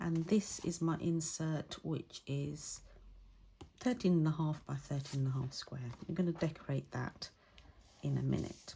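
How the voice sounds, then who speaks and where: A woman speaks at a very deep, low pitch with ordinary pitch variation. Her voice is somewhat breathy and her pace fairly slow. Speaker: craft instructor. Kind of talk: tutorial. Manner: voice drops when concentrating; casual, hesitant. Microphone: no mic plugged in, may be quiet.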